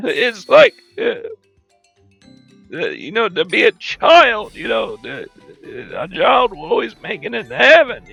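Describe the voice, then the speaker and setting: In a put-on character voice, a man speaks breathily at an extremely high pitch and a moderate pace. Long, frequent pauses break up his speech, and music plays in the background. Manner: speaking while inhaling.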